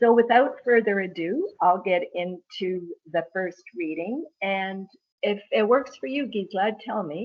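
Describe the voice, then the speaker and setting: With a Canadian accent, a woman talks at a fairly slow pace in a normal speaking voice of medium pitch. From Ireland, then Canada from age seven. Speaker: author.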